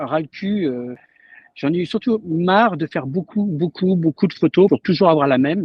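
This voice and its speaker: This man's high pitch varies in an ordinary way as he talks at a moderate pace. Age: 60s. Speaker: photographer. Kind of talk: casual chat.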